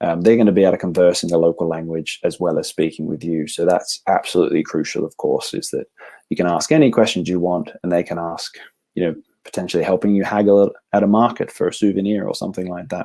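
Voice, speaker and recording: A very deep, low male voice with a dark, mellow tone and an Australian accent, at a very fast pace. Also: ordinary pitch variation. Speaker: travel company representative. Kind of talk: sales presentation.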